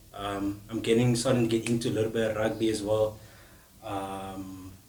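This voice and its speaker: A man's monotone, flat delivery at a moderate pace in a Cape Town accent. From South Africa, Cape Town. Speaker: podcast co-host. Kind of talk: casual chat. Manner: casual, halting with fillers.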